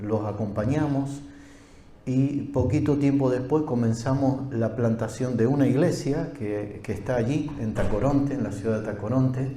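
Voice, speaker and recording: A man keeps a moderate pace and ordinary pitch variation while audible room echo hangs around his voice. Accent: Argentine. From Argentina. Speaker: pastor. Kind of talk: sermon.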